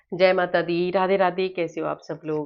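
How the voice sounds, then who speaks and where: At a fairly slow pace, a woman with a fairly low pitch speaks in a flat monotone. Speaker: tarot reader. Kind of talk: spiritual tarot reading.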